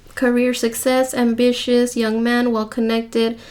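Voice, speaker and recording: A high-pitched woman speaks at a fairly slow pace over noticeable background noise. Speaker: tarot reader. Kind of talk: tarot reading. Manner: repetitive.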